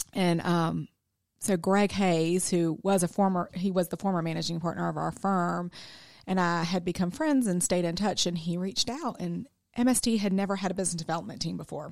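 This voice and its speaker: On a very clean recording with a silent background, a woman talks at a fairly quick pace. She has an ordinary speaking voice, fairly low in pitch, with ordinary pitch variation. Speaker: accounting firm business developer. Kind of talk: radio interview. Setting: studio.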